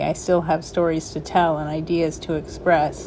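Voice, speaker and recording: A very slow-paced woman's voice against noticeable background noise. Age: 40s. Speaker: video blogger living with Parkinson's. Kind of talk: personal reflection to camera. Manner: halting, with pauses and breaths.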